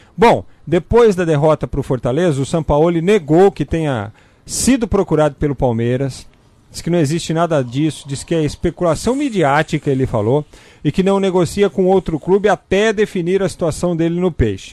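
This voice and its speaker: At a moderate pace, a man with a high pitch, a dark, mellow tone and lively intonation speaks in a dry, close sound with no echo. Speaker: sports radio co-host. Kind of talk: sports news commentary.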